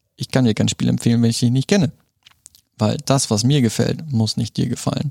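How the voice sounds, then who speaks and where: A man at medium pitch speaks at a fairly quick pace, the sound dry and close with no echo. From Germany, moved around. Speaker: board game shop owner. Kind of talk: casual interview. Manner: halting, many fillers.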